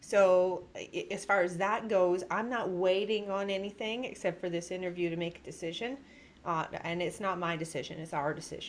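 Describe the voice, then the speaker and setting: Speaking at a moderate pace, the woman has a plain, everyday voice with medium pitch and ordinary pitch variation. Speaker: podcast host. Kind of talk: interview.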